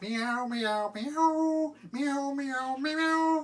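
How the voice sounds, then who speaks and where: Pitched high, this is a put-on character voice. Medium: read story.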